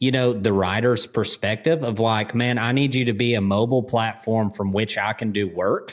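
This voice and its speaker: A man talks at a moderate pace and medium pitch. The recording is very clean, with a silent background. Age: 30s. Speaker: podcast host and horseman. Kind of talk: casual chat. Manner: animated.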